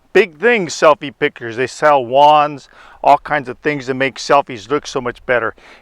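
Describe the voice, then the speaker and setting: A man with a fairly high pitch talks at a moderate pace in an ordinary speaking voice. The sound is dry and close, with no echo. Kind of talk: devotional talk.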